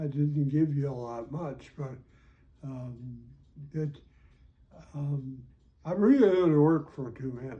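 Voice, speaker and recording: A man with an American accent speaks very slowly in a fairly high, somewhat breathy voice with a dark, mellow tone, leaving long, frequent pauses. His loudness swings widely, and the room echo is audible. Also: ordinary pitch variation. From North Dakota. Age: 90s. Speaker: retired educator. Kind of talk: interview. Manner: halting.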